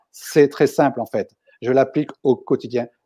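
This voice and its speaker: A man is talking. The tone of his voice is dark and mellow. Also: quiet background. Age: 60s. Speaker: speaker on managerial optimism, former company head; guest. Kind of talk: interview. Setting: online video livestream. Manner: emphatic, repeats words for emphasis. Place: home room. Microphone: earbuds.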